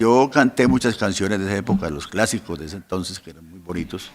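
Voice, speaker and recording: His loudness rises and falls sharply. This man speaks fairly quickly. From Colombia. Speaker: pastor. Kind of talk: interview. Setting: podcast recording.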